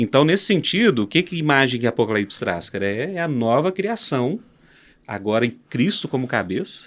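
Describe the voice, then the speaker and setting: On a very clean recording with a silent background, a man at a medium pitch moves through very wide pitch swings at a moderate pace. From Minas Gerais, Brazil. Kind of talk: podcast interview answer. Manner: casual, animated.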